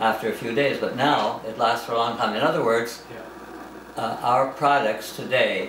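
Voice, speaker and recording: A man with a medium pitch speaks at a fairly slow pace with fairly even intonation. Background noise is noticeable. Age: 80s+. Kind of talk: interview answer.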